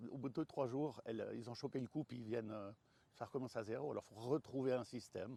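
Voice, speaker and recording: A man with a medium pitch talks at a fairly quick pace, his dark, mellow tone and ordinary pitch variation captured in a dry, close sound with no echo. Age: 60s. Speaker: vegetable grower and fruit farmer. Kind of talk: interview. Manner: halting, many hesitations.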